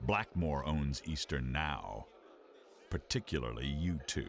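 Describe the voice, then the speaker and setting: Over clear background noise, a man puts on a character voice with a very deep, low pitch, ordinary pitch variation and a fairly slow pace. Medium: video game. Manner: menacing.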